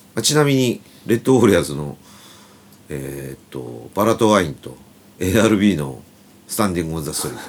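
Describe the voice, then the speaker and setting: A man talks at a fairly quick pace in a very deep, low pitch, with very wide pitch swings. His loudness swings widely, and he takes long, frequent pauses. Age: 50s. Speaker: band guitarist and podcast host. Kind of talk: casual chat.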